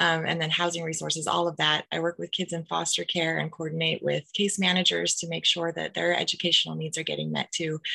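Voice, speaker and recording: A woman talks at a fairly quick pace. She hardly pauses at all. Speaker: school social worker. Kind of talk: presentation. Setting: video call. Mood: warm, friendly. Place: home room. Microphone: webcam.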